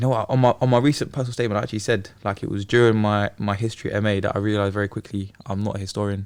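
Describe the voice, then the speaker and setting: Man with a London accent, fairly low pitch, monotone, flat intonation, very fast pace and hardly any pauses. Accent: London English (Multicultural London). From South East London. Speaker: podcast guest, teacher. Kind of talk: casual chat. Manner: casual, hesitant with fillers.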